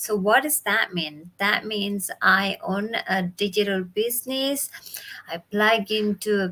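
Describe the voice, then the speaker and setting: A woman with an Indonesian accent speaks at a fairly slow pace. Her pitch is medium and varies in an ordinary way. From Bali, Indonesia. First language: Indonesian or Balinese. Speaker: business mentor. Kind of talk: live stream talk. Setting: live video stream from home.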